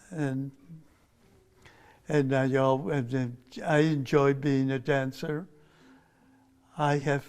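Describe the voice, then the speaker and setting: A man speaks at a fairly high pitch with monotone, flat intonation. His pace is very slow. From US, Mexican-American family. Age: 80s+. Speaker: retired flamenco dancer and former artistic director. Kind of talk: interview.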